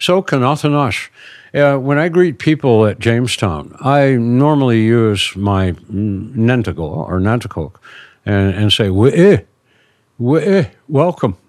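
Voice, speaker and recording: Here a man with an American accent, at medium pitch, swings very widely in pitch on a very clean recording with a silent background. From Maryland Eastern Shore, Dorchester County. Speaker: Native heritage interpreter and builder. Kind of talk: storytelling interview. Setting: in person, smoking a pipe. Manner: halting, many fillers.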